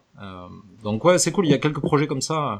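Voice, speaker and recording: Speaking in a southern French accent, a man lets his pitch swing very widely. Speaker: podcast columnist. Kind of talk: casual chat.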